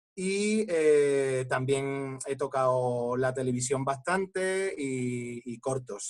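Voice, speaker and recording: Medium pitch from a man, ordinary variation in his pitch. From Andalusia, Coín (Málaga). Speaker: actor. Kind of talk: panel discussion. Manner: halting.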